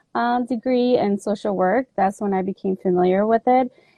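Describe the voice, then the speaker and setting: This woman's voice sits at medium pitch and varies in an ordinary way. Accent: Spanish. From Mexico. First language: Spanish. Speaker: army veteran and advocate. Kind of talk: talk on trauma and intersectionality.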